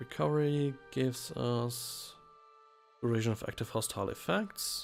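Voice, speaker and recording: Music plays in the background as a man speaks with a German accent. His pitch is medium and his pace very slow. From Germany. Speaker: let's play commentator. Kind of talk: gameplay commentary. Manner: casual.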